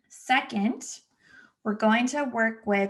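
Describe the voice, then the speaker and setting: Somewhat breathy speech with ordinary pitch variation plays over a quiet background. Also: woman. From Los Angeles, US West Coast. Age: 30s. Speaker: podcast host, therapist. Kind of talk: solo podcast monologue. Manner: casual, chatty.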